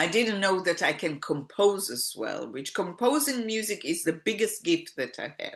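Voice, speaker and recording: Showing vocal fry and very wide pitch swings, a woman talks at a moderate pace with hardly any pauses. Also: medium pitch for a woman. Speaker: singer-songwriter. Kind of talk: interview answer.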